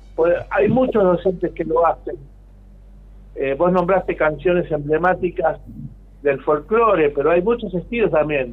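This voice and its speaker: A man with a Rioplatense accent speaks at a high pitch, with very even loudness. His pitch varies in an ordinary way, and he leaves long, frequent pauses. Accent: Argentine Rioplatense Spanish. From Argentina, Mar del Plata. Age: 60s. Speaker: pianist and composer. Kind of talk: radio interview.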